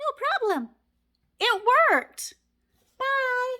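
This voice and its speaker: Squeaky and at an extremely high pitch, a woman's put-on character voice comes through. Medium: read story. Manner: bright, matter-of-fact.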